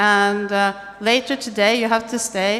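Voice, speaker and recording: Her pitch fairly high, a woman speaks with a Norwegian accent. She keeps a fairly slow pace. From Norway. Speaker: tech event speaker. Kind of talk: on-stage conversation.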